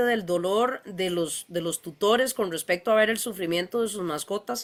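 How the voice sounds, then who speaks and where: A woman speaks at a moderate pace and medium pitch, with ordinary pitch variation. The recording is very clean, with a silent background. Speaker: veterinarian, panel moderator. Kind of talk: panel discussion. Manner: hesitant, many fillers.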